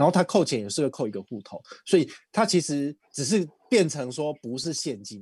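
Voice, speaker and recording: Against a quiet background, a man with a Taiwanese accent and fairly high pitch speaks with very wide pitch swings. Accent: Taiwanese Mandarin. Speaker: credit card expert. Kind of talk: casual chat.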